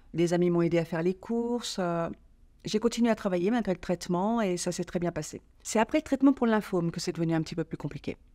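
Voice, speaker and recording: A woman's very fast speech, dark and mellow in tone, at a fairly low pitch with ordinary pitch variation, in a very clean recording with a silent background. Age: 60s. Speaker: patient giving testimony. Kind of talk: interview testimony.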